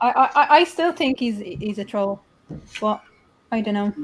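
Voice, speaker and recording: A woman with a Dublin accent speaks with very wide pitch swings. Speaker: YouTube channel host. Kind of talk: casual chat.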